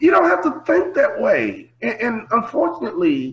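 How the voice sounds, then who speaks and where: An American man speaks in an animated tone, his pitch swinging very widely. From US Midwest, Chicago. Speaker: motivational speaker, former basketball player. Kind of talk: interview. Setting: video call.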